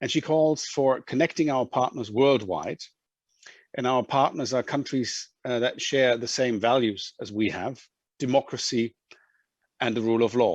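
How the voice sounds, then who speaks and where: A man with a German accent speaks at a moderate pace. The sound is dry and close with no echo, over a quiet background. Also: medium pitch for a man, ordinary pitch variation. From Germany. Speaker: EU official. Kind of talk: conference closing remarks. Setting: video call. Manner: halting, many fillers.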